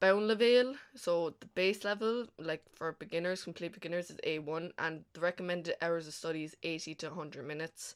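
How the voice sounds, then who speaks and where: Fairly quick speech from a woman with an Irish accent, fairly low in pitch, with hardly any pauses and ordinary pitch variation. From Ireland, County Kilkenny. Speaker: language teacher. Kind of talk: tutorial. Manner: casual, lots of fillers.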